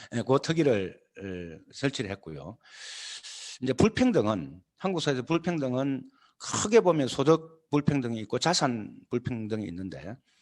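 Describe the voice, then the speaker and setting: Speaking at a fairly slow pace, a man uses a medium pitch with very wide pitch swings and big swings in loudness. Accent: Gyeongsang. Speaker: party leader. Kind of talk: lecture. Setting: video call. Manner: halting, many fillers.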